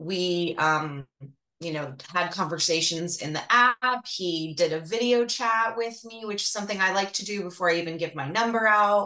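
A woman talks in an ordinary speaking voice at a medium pitch. Her pace is moderate, and her pitch varies in an ordinary way. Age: 40s. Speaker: dating coaching client. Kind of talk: casual chat.

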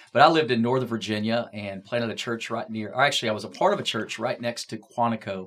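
Hardly pausing, a man rattles along at a very fast pace and medium pitch against noticeable background noise. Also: ordinary pitch variation. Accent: American. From Texas. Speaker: campus pastor. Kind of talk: casual panel discussion.

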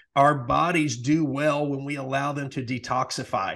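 A man's fairly high-pitched voice, a plain, everyday voice, against a quiet background. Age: 40s. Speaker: podcast host, retired nurse. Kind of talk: casual chat.

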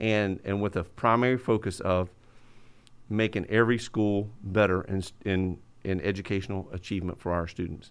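An ordinary speaking voice with an American accent, fairly even intonation and a moderate pace, in a very clean recording with a silent background. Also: man, fairly low pitch for a man. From rural southwest Florida (Hendry County). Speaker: school superintendent. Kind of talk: interview. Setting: in person.

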